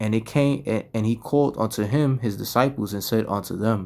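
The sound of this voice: The reading voice sounds unforced. Pitch moves in an ordinary way.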